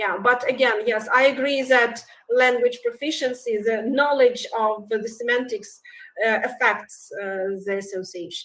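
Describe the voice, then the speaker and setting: A woman speaks at a fairly slow pace with a Russian accent. Her pitch is high and her intonation fairly even. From Belarus. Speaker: researcher. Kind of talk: conference Q&A. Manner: halting, many hesitations.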